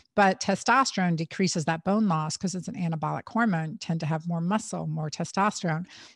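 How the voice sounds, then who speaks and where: A woman speaks with an American accent at a fairly quick pace. Her pitch varies in an ordinary way. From United States, first-generation American in a Portuguese and Middle Eastern household. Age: 50s. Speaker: gynecologist and author. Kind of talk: interview. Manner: animated.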